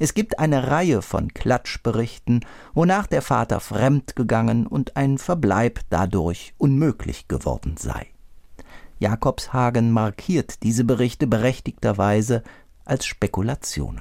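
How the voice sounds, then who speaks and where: A man speaks fairly slowly at a medium pitch, with vocal fry and lively intonation. The recording is very clean, with a silent background. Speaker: book critic. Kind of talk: scripted narration.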